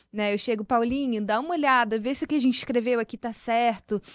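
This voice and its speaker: Heard dry and close with no echo over a quiet background, a woman with a Rio de Janeiro accent speaks at fairly high pitch with ordinary pitch variation. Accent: carioca. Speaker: marketing professional. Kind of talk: interview conversation.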